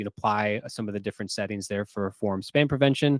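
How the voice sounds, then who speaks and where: The recording is dry and close, with no echo. A man in it speaks at a fairly quick pace. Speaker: software company webinar presenter. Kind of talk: product webinar presentation. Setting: live online webinar. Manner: fast; words sometimes blurred together.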